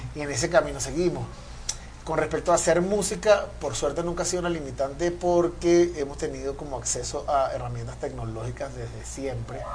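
At a fairly quick pace, a man speaks amid noticeable background noise and audible room echo. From Venezuela. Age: 30s. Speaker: funk guitarist. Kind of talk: casual interview chat.

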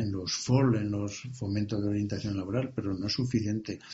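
At a moderate pace, a man with a fairly low pitch speaks in a somewhat breathy voice with fairly even intonation. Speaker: retired bank manager, business adviser. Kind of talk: interview. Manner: halting.

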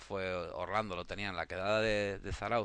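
A man with a plain, everyday voice talks in a fairly low pitch, varying it in an ordinary way, with a quiet background behind him. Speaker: photography community founder. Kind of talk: casual chat.

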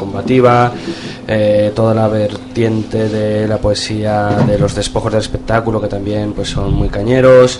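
Noticeable background noise accompanies a man speaking at a fairly slow pace. His voice is fairly low in pitch. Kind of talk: radio interview, poetic hosting. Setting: radio studio.

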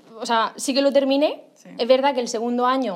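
The woman's tone is animated and her voice high. She keeps a moderate pace. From Murcia, Spain. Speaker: makeup artist. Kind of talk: interview.

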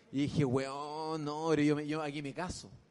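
In a Chilean accent, a man talks at a fairly high pitch and a moderate pace. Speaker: comedian and podcast co-host. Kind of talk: live comedy podcast chat. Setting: stage with live audience.

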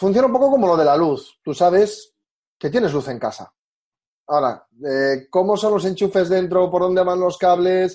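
A man's high-pitched voice at a moderate pace. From Galicia, Spain (Orense). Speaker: hosting company country manager. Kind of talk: interview.

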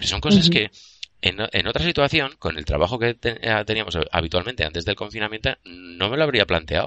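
This man's voice is fairly low in pitch, with very wide pitch swings. He talks at a fairly quick pace. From Spain, province of Castellón. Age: 40s. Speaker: livestream co-host. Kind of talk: casual chat.

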